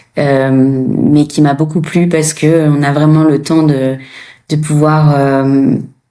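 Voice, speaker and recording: In a room with audible echo, a woman speaks very slowly with a very deep, low pitch, a dark, mellow tone, monotone, flat intonation and very even loudness. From France. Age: 30s. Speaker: former nurse turned coach. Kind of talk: interview testimony. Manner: hesitant, many fillers.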